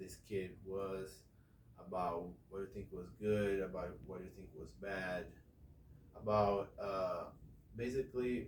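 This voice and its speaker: In audible room echo, a man speaks at a fairly slow pace with fairly even intonation. His voice is fairly low and somewhat breathy. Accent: non-native. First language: not English. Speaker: English teacher. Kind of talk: classroom instruction.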